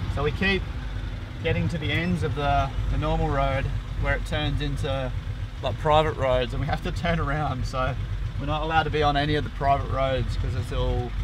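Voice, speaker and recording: A man at a fairly quick pace over noticeable background noise. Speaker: sailing vlogger. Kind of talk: casual vlog chat. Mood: amused, relaxed. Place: car.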